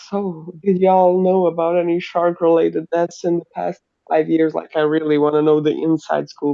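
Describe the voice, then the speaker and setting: The speaker talks at a moderate pace in a German accent. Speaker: live stream co-host. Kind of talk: casual chat. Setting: live video stream. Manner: animated.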